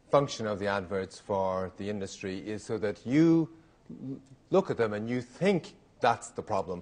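An unremarkable speaking voice from a man, fairly low in pitch, at a moderate pace. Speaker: lecturer. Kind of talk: lecture. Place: hall. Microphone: podium.

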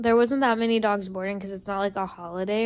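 The intonation stays fairly level as a woman speaks. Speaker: vlogger. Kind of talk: casual vlog chat. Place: home room. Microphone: phone near.

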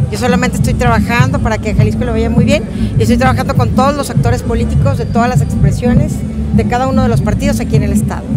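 Against loud music in the background, the speech comes at a very fast pace with a dry sound and no echo. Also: woman. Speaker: politician. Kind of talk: interview answer to press. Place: street. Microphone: lapel.

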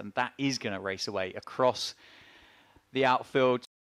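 At a moderate pace, a man speaks in a normal speaking voice with fairly even intonation.

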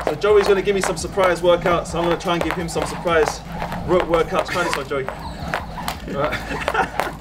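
A man at a moderate pace over loud background noise. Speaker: fitness coach. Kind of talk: workout instruction. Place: street.

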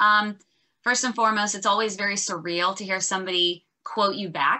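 A woman at medium pitch and moderate pace, with ordinary pitch variation against a quiet background. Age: 30s. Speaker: life coach and author. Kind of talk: interview. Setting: video call. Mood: warm, grateful. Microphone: video call.

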